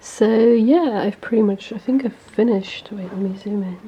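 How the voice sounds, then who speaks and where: A woman speaks at medium pitch and a moderate pace, with ordinary pitch variation. Noticeable background noise is heard behind her. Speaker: illustrator and craft vlogger. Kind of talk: studio vlog tutorial. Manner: casual, hesitant with fillers.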